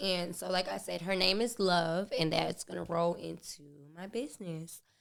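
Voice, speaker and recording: A woman speaks at a moderate pace with a fairly low pitch and vocal fry. Her pitch varies in an ordinary way. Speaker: podcast host and small business owner. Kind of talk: casual monologue. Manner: rambling, animated.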